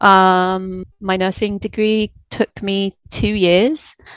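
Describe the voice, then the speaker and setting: Medium-pitched woman's voice in a British accent, monotone and flat, with a dry, close sound with no echo against a quiet background. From UK. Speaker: veterinary rehab technician. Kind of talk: casual interview chat.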